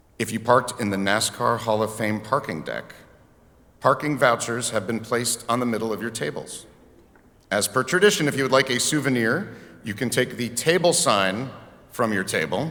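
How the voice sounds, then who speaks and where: Ordinary pitch variation runs through a voice whose tone is bright and sharp. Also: man, medium pitch for a man. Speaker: banquet emcee. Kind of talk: banquet emceeing. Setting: stage with audience. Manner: animated; fast.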